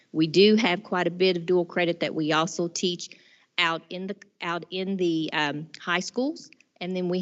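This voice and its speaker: A woman with a fairly low-pitched voice speaks at a moderate pace with fairly even intonation in an ordinary speaking voice. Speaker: college president. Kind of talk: board meeting report.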